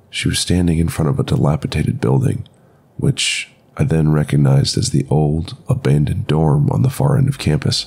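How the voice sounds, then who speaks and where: Over noticeable background noise, a man with a very deep, low pitch delivers a dramatic reading at a fairly quick pace, swinging very widely in pitch while keeping his loudness very even. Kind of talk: ghost story telling, first-person horror narration. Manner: dramatic, tense, building dread.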